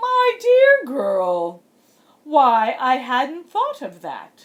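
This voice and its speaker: Putting on a character voice, a woman makes very wide pitch swings. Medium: read story. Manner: haughty, theatrical.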